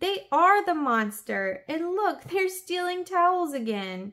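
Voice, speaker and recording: A woman uses a put-on character voice at an extremely high pitch, speaking at a fairly slow pace with very wide pitch swings. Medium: read story. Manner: bold, commanding.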